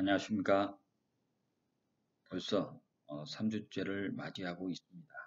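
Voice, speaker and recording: At a fairly slow pace with long, frequent pauses, a man speaks in a fairly low, flat monotone. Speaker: professor. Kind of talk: lecture. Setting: recorded online lecture with slides. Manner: deliberately slow. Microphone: recording keeps cutting out.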